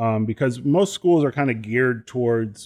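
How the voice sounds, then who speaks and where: A man with an unremarkable speaking voice talks at a moderate pace and medium pitch, with ordinary pitch variation, over a quiet background. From US, moved around (Chicago, Ohio, California, Texas). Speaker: professional trombonist. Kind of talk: casual interview chat.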